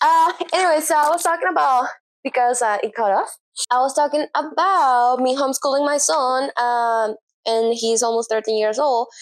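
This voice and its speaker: A woman's high voice in a Spanish accent, at a moderate pace with ordinary pitch variation, in a very clean recording with a silent background. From Venezuela. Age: 30s. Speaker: self-taught graphic designer and brand strategist. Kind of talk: casual vlog talk to camera. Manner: animated, rambling with fillers.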